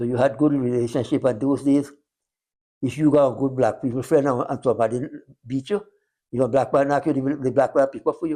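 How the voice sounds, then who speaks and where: In a Guyanese accent, a man speaks at a fairly quick pace with a dark, mellow tone and fairly even intonation. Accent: Guyanese Creole. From Guyana, West Coast Demerara. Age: 90s. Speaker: retired sugar worker. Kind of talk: interview. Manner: halting.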